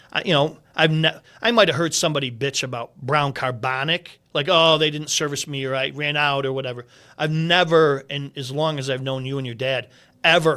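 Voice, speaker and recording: This bright, sharp voice holds a fairly even intonation on a very clean recording with a silent background. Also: man. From Central New York, North Syracuse. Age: 60s. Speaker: restaurant consultant. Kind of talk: casual chat. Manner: fast.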